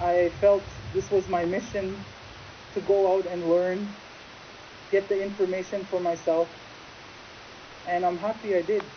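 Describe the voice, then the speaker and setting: Amid noticeable background noise, a woman with a Great Lakes accent speaks in a monotone, flat intonation with long, frequent pauses. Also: medium pitch for a woman, moderate pace. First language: Ojibwe. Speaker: interviewee. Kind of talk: interview testimony.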